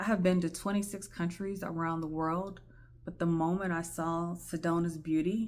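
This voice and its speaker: A shaky woman's voice moves at a moderate pace in a monotone, flat intonation, with audible room echo. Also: fairly low pitch for a woman. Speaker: podcast host sharing personal story. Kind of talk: personal testimony monologue. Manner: shaky, emotional.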